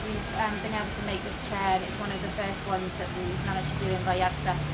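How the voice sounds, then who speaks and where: Loud noise sits in the background. Over it, a woman speaks at a fairly quick pace. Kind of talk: casual vlog chat. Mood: pleased, upbeat. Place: street. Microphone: camera far.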